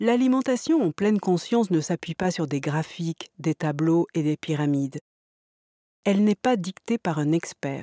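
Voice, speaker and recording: A woman at a fairly low pitch and fairly slow pace, with lively intonation, very even loudness, and a soothing, calm, dark, mellow tone, in a very clean, dry, close recording with a silent background and no echo. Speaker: meditation teacher. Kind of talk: guided meditation program introduction, instructional. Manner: calm, slow and measured; formal, soothing, didactic.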